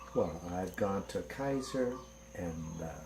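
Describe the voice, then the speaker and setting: Audible room echo follows a man as he talks at a fairly slow pace. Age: 60s. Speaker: patient giving testimonial. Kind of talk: testimony.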